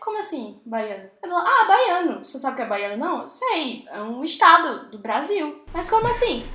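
With hardly any pauses, a woman at a moderate pace uses a raised, projected voice at an extremely high pitch, with very wide pitch swings and big swings in loudness, amid audible room echo and noticeable background noise. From Ceará, Brazil. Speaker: advertising professional and podcaster. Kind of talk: casual chat.

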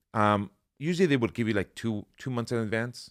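In a Spanish accent, a man speaks at a moderate pace with ordinary pitch variation. His voice is fairly low, on a very clean recording with a silent background. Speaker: life insurance agent and financial educator. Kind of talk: casual interview conversation. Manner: casual, rambling.

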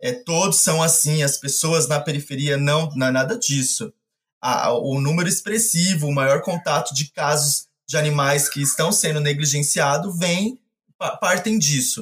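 Somewhat breathy and fairly high, a man's voice moves at a fairly slow pace with ordinary pitch variation and very even loudness. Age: 30s. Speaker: animal rescuer. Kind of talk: casual chat.

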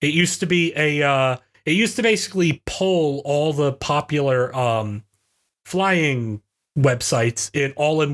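An unremarkable speaking voice from a man, fairly high with lively intonation and very even loudness, dry and close with no echo on a very clean recording with a silent background. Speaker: college professor, podcast co-host. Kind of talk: casual banter podcast.

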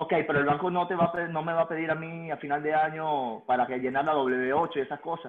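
With a Venezuelan accent and a fairly high pitch, a man speaks at a fairly quick pace with hardly any pauses and fairly even intonation. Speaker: business owner. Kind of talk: client consultation call.

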